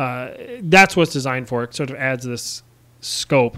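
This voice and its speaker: Over a silent background in a very clean recording, a man talks at a moderate pace in a bright, sharp tone. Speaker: indie game developer streaming. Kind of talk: casual live stream chat. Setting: live stream with call. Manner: loud.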